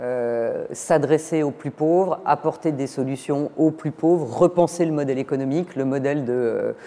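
Over noticeable background noise, a woman with a very deep, low pitch talks at a very slow pace and with fairly even intonation. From eastern France. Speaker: finance executive. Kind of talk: interview.

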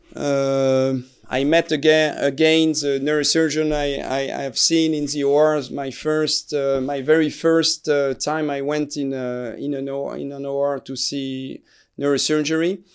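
With a French accent, a man speaks at a fairly slow pace. His intonation is monotone and flat. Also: fairly high pitch for a man. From France, Alsace. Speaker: neurosurgeon. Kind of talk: interview. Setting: studio. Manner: hesitant, many filler sounds.

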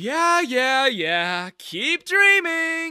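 Using a put-on character voice, a man talks at an extremely high pitch with big pitch swings, a bright, sharp tone and a very slow pace, in a dry, close sound with no echo on a very clean recording with a silent background.

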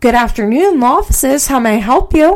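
In a put-on character voice, a female-sounding speaker talks fairly quickly at a high pitch. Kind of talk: formal. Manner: polite, professional, put-on.

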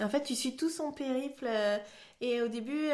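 A woman talks at a moderate pace with ordinary pitch variation. She has a normal speaking voice. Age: 30s. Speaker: podcast guest. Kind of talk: casual interview.

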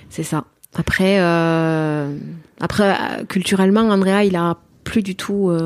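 A woman with a medium-pitched voice speaks at a very slow pace, leaving long, frequent pauses. Her intonation stays fairly even. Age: 40s. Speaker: adoptive mother. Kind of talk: interview testimony. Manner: halting.

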